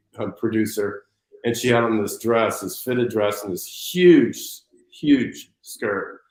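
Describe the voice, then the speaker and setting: An ordinary speaking voice from a man at medium pitch and a moderate pace. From United States. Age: 60s. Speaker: fashion designer. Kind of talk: interview.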